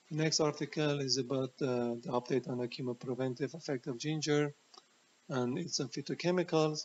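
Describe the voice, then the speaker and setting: Using fairly even intonation, a fairly high-pitched man with a non-native accent talks at a fairly quick pace. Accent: noticeable foreign. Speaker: health educator, former chemotherapy researcher. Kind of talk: educational talk presenting research. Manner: hesitant, many fillers.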